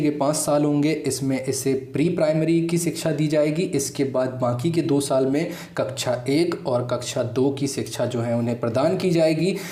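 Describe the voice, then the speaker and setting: A voice with a Gujarati accent, audible room echo and noticeable background noise. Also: man. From Gujarat, India. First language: Gujarati (speaking Hindi). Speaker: exam-prep YouTube teacher. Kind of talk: educational explainer.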